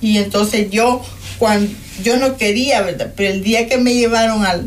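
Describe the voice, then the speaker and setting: A woman speaks at a fairly high pitch with ordinary variation. Room echo is audible. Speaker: guest sharing life testimony. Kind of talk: testimony.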